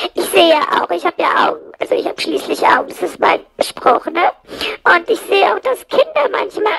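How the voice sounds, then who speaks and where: In a put-on character voice, someone speaks at a moderate pace with an extremely high pitch. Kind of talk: comic monologue with fake ad. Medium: solo performance. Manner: rambling, constantly correcting itself.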